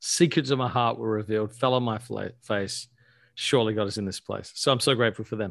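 Talking very fast with an Australian accent, the speaker is heard against a quiet background. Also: man, medium pitch for a man, ordinary pitch variation. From Australia (Adelaide). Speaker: pastor and author. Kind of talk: casual interview chat.

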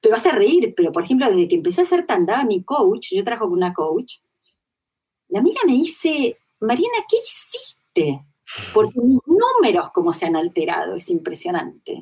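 A woman with a Rioplatense accent, fairly high pitch and very wide pitch swings, at a moderate pace. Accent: Argentine Rioplatense Spanish. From Argentina. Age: 40s. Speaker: interviewee sharing personal spiritual experience. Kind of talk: testimony in interview.

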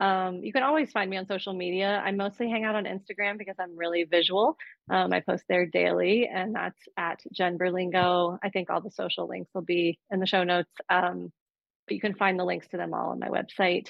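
Talking at a fairly quick pace, a woman has a plain, everyday voice, medium pitch and fairly even intonation. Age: 40s. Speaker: therapist and midlife coach, author. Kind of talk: casual interview chat. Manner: frequent filler words.

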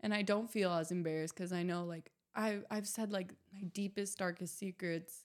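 A woman with an American accent and an ordinary speaking voice, at medium pitch and moderate pace, with fairly even intonation. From US Pacific Northwest (Southern Oregon, Ashland). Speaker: recovering addict and model. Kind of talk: casual interview.

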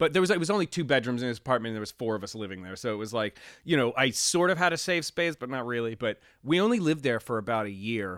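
Speaking very fast with an American accent, a man at medium pitch makes very wide pitch swings in a dry, close sound with no echo, recorded very cleanly against a silent background. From Pennsylvania, US (Reading, later near Pittsburgh). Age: 30s. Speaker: recording engineer and producer, former Marine. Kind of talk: casual interview chat.

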